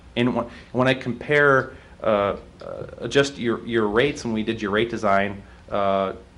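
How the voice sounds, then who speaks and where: In a slight Wisconsin accent, a man speaks at a fairly slow pace with fairly even intonation. The room echo is audible. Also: medium pitch for a man. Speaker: utility rate consultant. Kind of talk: presentation to city council. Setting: city council meeting. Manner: halting, many fillers and restarts.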